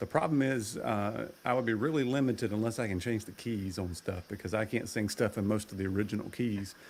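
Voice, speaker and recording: A man's fairly low voice with ordinary pitch variation and hardly any pauses. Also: fairly quick pace. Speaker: guest, karaoke streamer. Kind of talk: casual chat.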